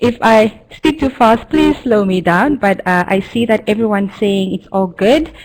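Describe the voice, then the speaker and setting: With hardly any pauses, a woman talks in a fairly high voice and lively intonation. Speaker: e-learning practitioner. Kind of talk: webinar presentation. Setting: online seminar. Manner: fast.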